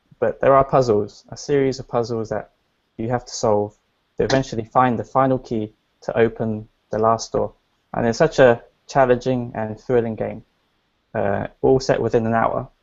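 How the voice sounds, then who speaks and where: A man with a British accent and monotone, flat intonation. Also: medium pitch for a man, moderate pace. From England. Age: 20s. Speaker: entrepreneur. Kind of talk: interview. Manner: hesitant, with fillers and restarts.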